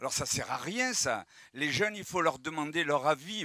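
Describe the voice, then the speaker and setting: Ordinary pitch variation and a bright, sharp tone from a man. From France. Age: 70s. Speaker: audience member. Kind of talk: public debate.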